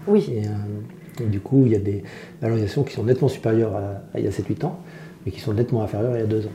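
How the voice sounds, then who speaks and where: At a very fast pace, a man speaks in a somewhat breathy, dark, mellow tone at medium pitch with ordinary pitch variation. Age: 50s. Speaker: entrepreneur. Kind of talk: casual chat.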